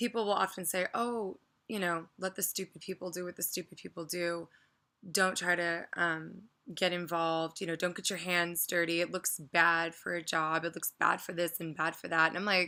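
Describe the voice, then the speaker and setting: Quiet and bright, sharp in tone, the voice holds a monotone, flat intonation at a moderate pace on a very clean recording with a silent background. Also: woman, fairly low pitch for a woman. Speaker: vlogger. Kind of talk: casual rant vlog.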